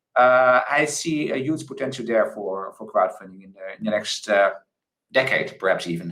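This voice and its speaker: In a room with audible echo, a man of medium pitch speaks at a moderate pace with a bright, sharp tone, lively intonation and big swings in loudness. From Netherlands. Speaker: crowdfunding expert, panelist. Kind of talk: conference panel discussion.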